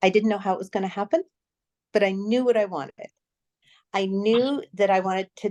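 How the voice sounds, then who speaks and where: The sound is dry and close, with no echo. A woman speaks at a medium pitch with ordinary variation. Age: 60s. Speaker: former ballet dancer turned somatic practitioner. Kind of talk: interview. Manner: hesitant, with fillers.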